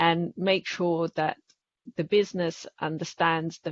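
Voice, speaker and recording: At a fairly slow pace, a woman speaks in a fairly low pitch with ordinary pitch variation. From Italy. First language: Italian. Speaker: public policy specialist at a bank. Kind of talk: webinar panel discussion. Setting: webinar.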